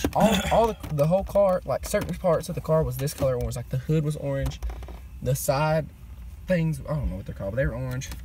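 A man with a Southern US accent speaks at a fairly quick pace, dry with no echo, over light background noise. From US South. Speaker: car vlogger. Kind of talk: casual chat. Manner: loud. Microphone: phone near.

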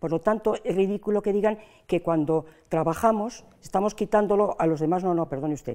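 A woman at a fairly quick pace, dark and mellow in tone, with ordinary pitch variation over a quiet background. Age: old. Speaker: pensioners' association president. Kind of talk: interview. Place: studio. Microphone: lapel.

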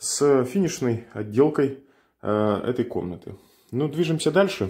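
A man's lively intonation at a fairly slow pace, over a quiet background. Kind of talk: casual vlog tour. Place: empty room. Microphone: phone near.

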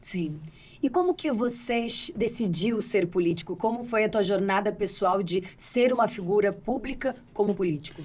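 Over light background noise, a woman speaks in a somewhat breathy voice at a moderate pace with ordinary pitch variation. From Brazil. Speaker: podcast host. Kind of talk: podcast interview. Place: studio. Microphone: studio mic.

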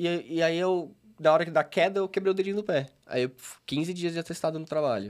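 Against a quiet background, a man speaks fairly quickly at a high pitch with ordinary pitch variation. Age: 20s. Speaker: recovering addict, psychology student; podcast guest. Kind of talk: testimony. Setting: studio. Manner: halting. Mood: earnest personal storytelling. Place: studio. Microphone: studio mic.

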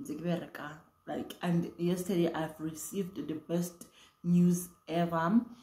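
Her voice, fairly low in pitch and somewhat breathy, has a dark, mellow tone, and the woman's speech carries audible room echo. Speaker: vlogger. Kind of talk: casual vlog chat. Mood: relaxed, playful. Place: home room. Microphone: phone near.

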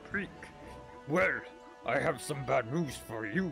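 A put-on character voice is heard over clear music in the background. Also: man. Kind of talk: comic overacting. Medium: actual play. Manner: comic menace, mock-threatening.

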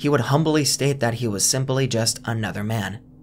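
Lively intonation at a moderate pace. Light background noise sits underneath. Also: man. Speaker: documentary narrator. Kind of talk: commentary.

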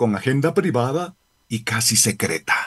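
A man speaking fairly slowly against a quiet background. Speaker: radio editorialist. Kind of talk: editorial commentary, angry rant. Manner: indignant, sarcastic, scolding; emphatic, accusatory, forceful. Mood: critical, indignant. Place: studio. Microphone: studio mic.

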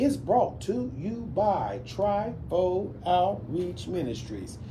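In an American accent, the speaker's pitch swings very widely over light background noise. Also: man. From US South. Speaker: radio host. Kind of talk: radio interview; read-out sponsor list. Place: studio. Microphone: studio mic.

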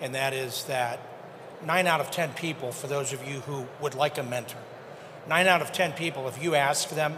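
At a moderate pace and with fairly even intonation, the voice carries over noticeable background noise. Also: man. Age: 70s. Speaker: audience member. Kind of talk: audience comment. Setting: stage with audience.

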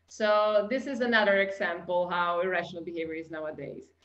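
A woman speaks with an Italian accent against a quiet background. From Italy. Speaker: customer experience consultant. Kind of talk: webinar presentation. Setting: video call. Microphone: webcam.

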